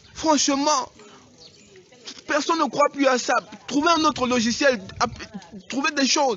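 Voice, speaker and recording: A man with an extremely high pitch speaks at a very slow pace, leaving long, frequent pauses. His loudness stays very even and his pitch variation is ordinary, with noticeable background noise behind him. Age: young. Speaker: local politician. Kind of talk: emotional public statement. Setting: outdoors. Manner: pleading.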